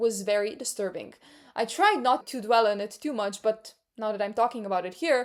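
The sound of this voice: An unforced reading voice with ordinary pitch variation, over a quiet background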